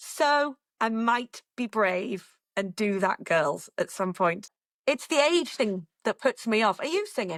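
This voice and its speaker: In a northern English accent, a woman speaks at a very slow pace with a fairly high pitch and very wide pitch swings, the sound dry and close with no echo. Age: 50s. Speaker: radio presenter. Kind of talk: casual chat.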